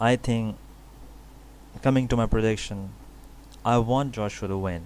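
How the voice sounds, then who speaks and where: Speaking at a moderate pace with a non-native accent, a man keeps a fairly low pitch and fairly even intonation. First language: not English. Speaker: boxing YouTuber, fight analyst. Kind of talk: solo commentary video, fight prediction. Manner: halting, with false starts and fillers.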